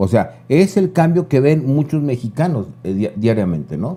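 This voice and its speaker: Using lively intonation, a man with a fairly high pitch and a dark, mellow tone talks at a moderate pace. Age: 60s. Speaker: political commentator. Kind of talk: casual chat.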